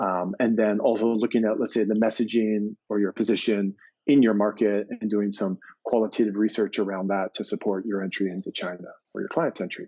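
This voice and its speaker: A man's fairly low, monotone voice in an American accent, flat in intonation and at a fairly quick pace. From US, Maine. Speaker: agency president. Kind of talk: interview.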